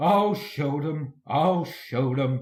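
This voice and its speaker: A man's put-on character voice, fairly high in pitch, with hissing. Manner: hissing, cross.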